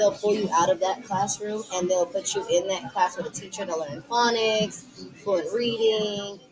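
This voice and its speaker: Music plays in the background as a woman talks at a medium pitch with ordinary pitch variation. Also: moderate pace. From Texas, Dallas. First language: Tigrinya. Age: 20s. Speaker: podcast guest. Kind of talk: casual chat.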